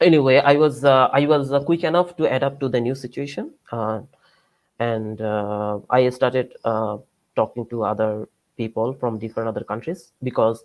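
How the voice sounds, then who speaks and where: A man's medium-pitched voice at a moderate pace with ordinary pitch variation, dry and close with no echo against a quiet background. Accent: Bengali. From Bangladesh. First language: Bengali. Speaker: PhD student and researcher. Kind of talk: lecture. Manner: halting, many fillers.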